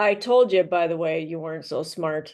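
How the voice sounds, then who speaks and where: Put-on character voice, middle pitch, moderate pace. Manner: mocking.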